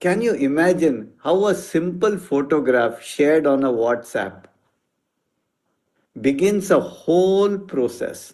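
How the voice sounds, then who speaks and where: The voice is an unremarkable speaking voice with lively intonation. It moves at a fairly slow pace. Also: man. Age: 60s. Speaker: homeopathic doctor. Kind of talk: interview conversation. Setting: video call.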